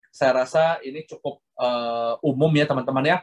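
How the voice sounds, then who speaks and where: Music plays in the background as a man speaks at a medium pitch. The sound is dry and close with no echo, and his intonation is fairly even. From Indonesia. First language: Hokkien (speaking Indonesian). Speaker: guest lecturer. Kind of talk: lecture. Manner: fluent, unbroken delivery.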